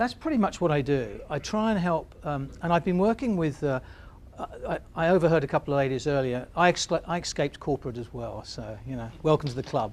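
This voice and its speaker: The speaker has an English accent and lively intonation. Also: man, fairly high pitch for a man. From England. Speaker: business consultant. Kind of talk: workshop presentation. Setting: stage with audience. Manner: halting.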